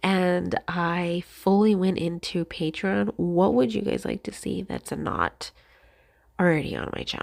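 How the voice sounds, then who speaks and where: A soft-spoken woman talks at a medium pitch, her voice swinging very widely up and down. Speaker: crafting YouTuber. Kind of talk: casual chat. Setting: voiceover recorded at home. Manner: halting.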